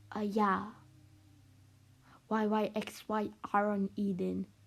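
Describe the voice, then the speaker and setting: A woman with an American accent. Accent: British, trying to sound American. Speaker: anime lore analysis video narrator. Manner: rambling, filler-heavy.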